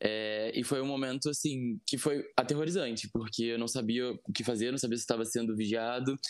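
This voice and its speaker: A man with a medium pitch, an unremarkable speaking voice, ordinary pitch variation and a fairly quick pace, over a quiet background. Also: hardly any pauses. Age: 20s. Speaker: podcast guest sharing personal story. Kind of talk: interview testimony.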